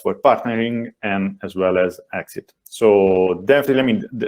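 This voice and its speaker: A man with an Italian accent at a fairly low pitch and a fairly slow pace. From Italy. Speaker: venture capital investor. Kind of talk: panel discussion. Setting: webinar video call. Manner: hesitant, many fillers.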